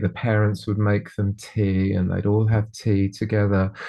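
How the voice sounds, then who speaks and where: With a southern English accent, a man speaks at a fairly slow pace in a fairly low pitch, his intonation monotone and flat. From England, Bedfordshire (Dunstable). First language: Polish. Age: 60s. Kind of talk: interview. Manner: halting, many repetitions.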